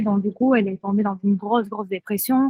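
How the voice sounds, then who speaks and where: Fairly even intonation from a woman with a Spanish accent, in a dry, close sound with no echo. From southern Spain. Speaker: friend of a person with bipolar disorder. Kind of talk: podcast interview, personal testimony. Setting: outdoors by the sea in Thailand.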